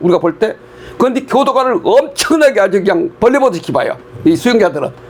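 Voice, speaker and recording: Talking at a very fast pace, a man's pitch swings very widely. Noticeable background noise is heard. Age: 80s+. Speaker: prison volunteer counselor and church elder. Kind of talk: interview testimony. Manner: conversational, with frequent fillers.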